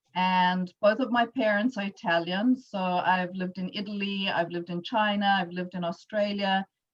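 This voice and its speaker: A woman with a South African accent talks at a moderate pace, with hardly any pauses. Her voice is somewhat breathy and her intonation fairly even. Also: medium pitch for a woman. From South Africa, Johannesburg. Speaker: entrepreneur, workshop speaker. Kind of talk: presentation.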